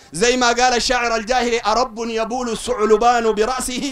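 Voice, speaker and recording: The speaker has a Sudanese accent. Their tone is animated. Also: man. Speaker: Salafi preacher. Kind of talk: religious lecture to a study circle; religious debate speech. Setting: study circle with audience. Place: street. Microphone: handheld.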